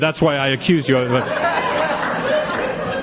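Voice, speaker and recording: Over crowd noise in the background, a man speaks in an animated tone. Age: 60s. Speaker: recovery speaker at an AA convention. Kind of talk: speaker talk at a twelve-step convention.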